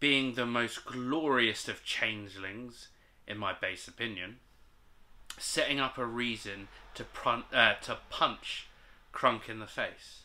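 This man talks at a very slow pace. His intonation is fairly even. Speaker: vlogger reading viewer submissions. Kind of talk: casual vlog chat. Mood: amused, jokey. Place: home room. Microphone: camera far.

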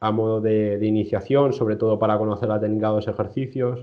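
Over a quiet background, a man talks in a fairly low voice. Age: 20s. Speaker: strength sports nutrition coach. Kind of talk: interview. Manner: halting, many repetitions. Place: home room. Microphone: video call.

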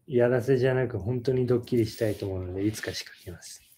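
A man's somewhat breathy voice, dark and mellow in tone, at medium pitch and a fairly quick pace, with ordinary pitch variation and light background noise. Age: 30s. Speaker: YouTuber, husband co-host. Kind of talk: casual live stream chat. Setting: home live stream. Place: home room. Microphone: phone near.

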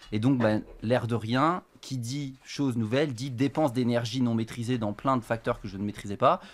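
At a moderate pace, the words come out with fairly even intonation. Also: man. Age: 20s. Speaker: professional poker player; guest. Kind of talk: casual chat. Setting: studio. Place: studio. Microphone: studio mic.

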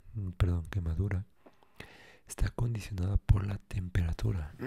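Soft-spoken and somewhat breathy, a man talks at a fairly slow pace in a fairly low voice with a dark, mellow, relaxed tone. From Mexico. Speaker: ASMR creator. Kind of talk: ASMR encyclopedia reading. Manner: soft-spoken, relaxed. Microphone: studio mic.

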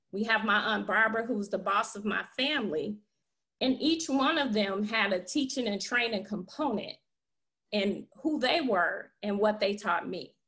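A woman with an American accent speaks at a fairly high pitch and a moderate pace, in a bright, sharp tone with lively intonation. Her background is quiet. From Chicago, North Lawndale; Chicago. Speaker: nonprofit founder; interview guest. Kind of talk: interview. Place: home room. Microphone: webcam.

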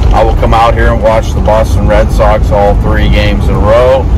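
Loud background noise surrounds a man speaking at a moderate pace, the sound dry with no echo. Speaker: van-camping vlogger. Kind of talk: casual vlog chat. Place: car. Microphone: phone near.

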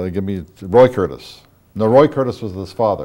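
With an Ohio accent, a man speaks in a dark, mellow tone over a quiet background. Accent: Midwestern American (Ohio). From Wadsworth, Ohio. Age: 60s. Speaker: local history show host. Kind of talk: oral history interview. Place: studio. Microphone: lapel.

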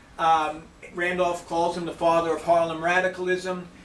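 Light background noise and audible room echo accompany speech at a moderate pace. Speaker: lecturer. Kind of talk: lecture. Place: hall. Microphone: camera far.

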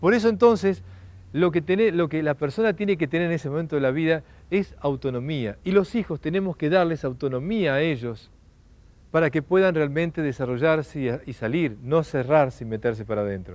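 This man's delivery is fairly quick. He uses lively intonation. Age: 40s. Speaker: lecturer. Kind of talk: lecture. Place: garden. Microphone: lapel.

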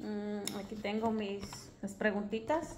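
Noticeable background noise runs under the speech. The speaker is a woman with a fairly high pitch. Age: 20s. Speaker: vlogger, stay-at-home mother; vlogger. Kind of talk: casual vlog monologue. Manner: hesitant, with many fillers. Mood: relaxed, friendly. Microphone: phone near.

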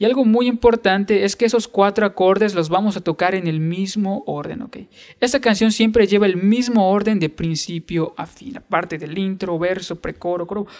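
A man's high-pitched voice at a moderate pace with hardly any pauses, ordinary pitch variation and a quiet background. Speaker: guitar teacher. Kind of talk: tutorial. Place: home room.

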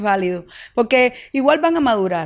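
In a plain, everyday voice, a woman speaks at a moderate pace and fairly high pitch with a quiet background. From Cuba, Villa Clara; Cuba. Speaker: actress. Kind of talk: interview. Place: home room. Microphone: handheld.

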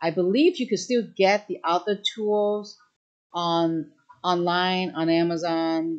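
A plain, everyday voice with ordinary pitch variation against a quiet background. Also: woman. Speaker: craft demonstrator on a livestream. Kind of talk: livestream Q&A answer. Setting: live online stream. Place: shop.

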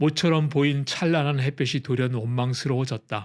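An unremarkable speaking voice belongs to this man, at a medium pitch. His pace is moderate, with ordinary pitch variation. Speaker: audiobook narrator. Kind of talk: scripted audiobook narration, essay read aloud. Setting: studio recording, ASMR sleep audio.

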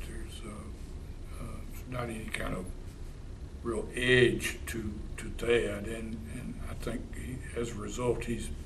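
A man at a very slow pace over light background noise. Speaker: interviewee. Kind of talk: interview answer. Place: hall.

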